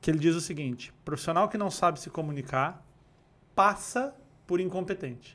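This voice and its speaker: A man with a high pitch and a Rio de Janeiro accent, his loudness swinging widely. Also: lively intonation, moderate pace. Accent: fluminense Brazilian Portuguese. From Rio de Janeiro state, Brazil. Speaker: neurocommunication instructor and speaker. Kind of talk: podcast interview, casual chat.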